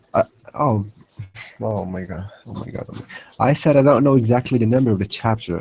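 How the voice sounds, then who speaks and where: A man with an Arabic accent and an animated tone, medium-pitched with ordinary pitch variation, at a fairly quick pace with big swings in loudness and long, frequent pauses. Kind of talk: heated debate. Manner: animated, interrupting; halting, repetitive.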